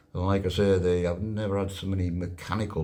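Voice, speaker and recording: The speaker is a man. He talks with a North Yorkshire accent. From Whitby, North Yorkshire, England. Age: 60s. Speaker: wheelchair double amputee on charity push. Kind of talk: casual video diary update. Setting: travel lodge room.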